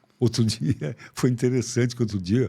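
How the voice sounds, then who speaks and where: Vocal fry runs through a man's dark, mellow voice of medium pitch with ordinary variation. He speaks at a moderate pace in a very clean recording with a silent background. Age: 70s. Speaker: psychiatrist. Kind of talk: interview conversation. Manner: animated.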